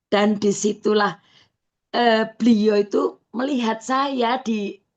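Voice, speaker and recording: Here a woman speaks at a very slow pace. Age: 60s. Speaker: customer giving testimonial. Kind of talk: testimony. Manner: halting, many fillers.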